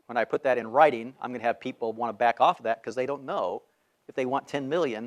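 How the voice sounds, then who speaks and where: On a very clean recording with a silent background and a dry, close sound with no echo, a man with an American accent talks very fast at a medium pitch with ordinary pitch variation. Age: 60s. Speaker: fundraising trainer. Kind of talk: training seminar talk.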